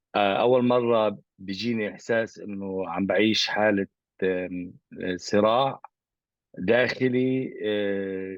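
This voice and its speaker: A man speaks at a very slow pace with an Arabic accent. His pitch is fairly low, and his intonation stays fairly even. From Gaza, Palestine. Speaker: artist. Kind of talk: interview. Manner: halting.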